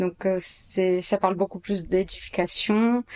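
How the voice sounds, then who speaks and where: Speaking very slowly in a monotone, flat way, a woman has a medium-pitched voice with a dry, close sound and no echo. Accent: Portuguese. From Brazil, São Paulo. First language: Portuguese (speaking French). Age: 30s. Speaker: architect and urban planner. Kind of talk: interview answers. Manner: hesitant, many fillers.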